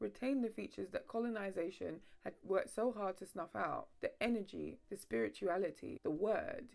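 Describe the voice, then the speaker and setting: A woman with a London accent. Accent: mild multicultural London English. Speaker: history video essayist. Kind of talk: scripted narration.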